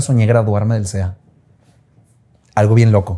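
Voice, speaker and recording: The tone is dark and mellow, with a somewhat breathy quality. The delivery moves at a moderate pace. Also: man. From northern Mexico, Monterrey. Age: 30s. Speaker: TV host and actor. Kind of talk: interview conversation.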